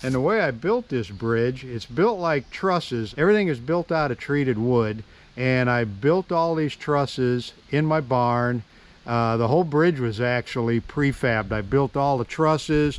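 A man talks at a moderate pace with ordinary pitch variation, the sound dry with no echo. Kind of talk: casual vlog chat. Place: forest. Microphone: phone near.

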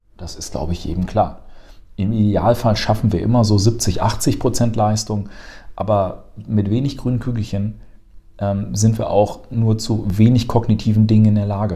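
Somewhat breathy, with a dark, mellow tone, a man speaks at a fairly low pitch with fairly even intonation. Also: moderate pace. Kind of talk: casual educational chat.

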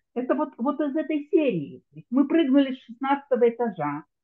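Fairly slow delivery with very wide pitch swings. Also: woman. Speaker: audience member asking questions. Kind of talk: online Q&A. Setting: video call.

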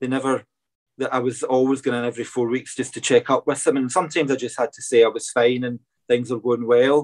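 Against a quiet background, a man with a Scottish accent talks very fast in a flat monotone. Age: 40s. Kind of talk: interview. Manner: hesitant, many fillers. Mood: open, reflective. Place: home room. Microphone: video call.

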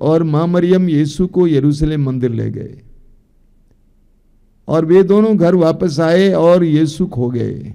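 Against a quiet background, a man speaks very slowly in a dark, mellow tone. His pitch varies in an ordinary way. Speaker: priest giving a spiritual talk. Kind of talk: sermon. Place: studio. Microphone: studio mic.

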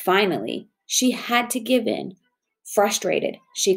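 Ordinary pitch variation runs through a natural reading voice. Behind it, the background stays quiet.

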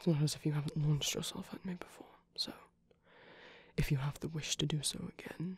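Long, frequent pauses break up the speech. Between them, the pace is fairly quick. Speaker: asmr creator voicing a character. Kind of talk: asmr roleplay whisper, intimate bedtime comfort scene in character as the Nightmare King. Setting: close-mic audio roleplay.

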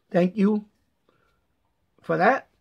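Fairly even intonation marks this man's high-pitched voice. He keeps a moderate pace.

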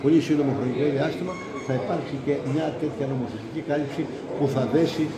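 The pace is moderate. A man talks with noticeable background noise present. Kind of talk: interview answer. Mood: calm, formal. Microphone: handheld.

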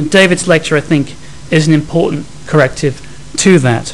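A man speaks in a normal speaking voice at a fairly high pitch. His pace is fairly quick, with ordinary pitch variation. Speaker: head of school, academic. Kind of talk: formal vote of thanks. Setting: lecture hall with audience. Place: hall.

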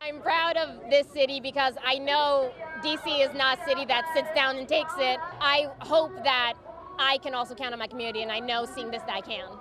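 Over clear background music, a woman projects a raised voice at a moderate pace with ordinary pitch variation, the sound dry with no echo. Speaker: interviewee. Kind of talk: interview answer. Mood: passionate, determined. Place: street. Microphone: handheld.

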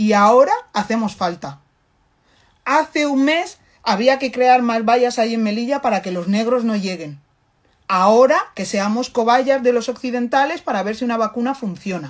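The speech has an animated tone and lively intonation at a fairly slow pace. The background is quiet. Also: woman. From Africa. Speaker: activist commentator. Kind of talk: impassioned monologue. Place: home room. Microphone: phone near.

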